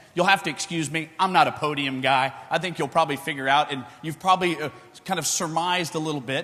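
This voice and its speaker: Loud and very fast, the speaker uses a Texan accent and lively intonation over noticeable background noise. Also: man. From Texas. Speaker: futures trader. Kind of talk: conference speech. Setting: stage with audience.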